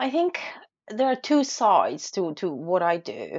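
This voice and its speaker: Here a woman speaks with a Polish accent. Her pace is very slow. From Poland. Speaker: food photographer and blogger. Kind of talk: casual interview.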